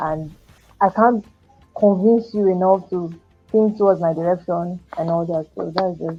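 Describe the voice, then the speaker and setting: Soft-spoken and fairly slow, a woman with a medium pitch talks in a fairly even tone, leaving long, frequent pauses over music in the background. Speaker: educator. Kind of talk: podcast interview answer.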